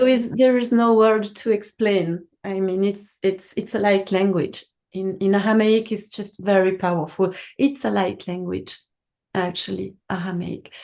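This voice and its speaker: With a non-native accent, a woman speaks at a medium pitch and fairly slow pace, her tone dark and mellow and her intonation fairly even. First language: French. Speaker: spiritual teacher of Aramaic light language. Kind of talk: casual chat on a live call. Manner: halting.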